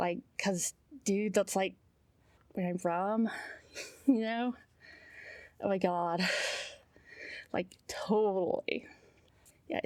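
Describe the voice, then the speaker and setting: Spoken very slowly in a Southern California accent, the voice comes through on a very clean recording with a silent background. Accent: valley girl style speech. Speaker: writer practicing audiobook narration. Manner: casual, filler-heavy (like, you know).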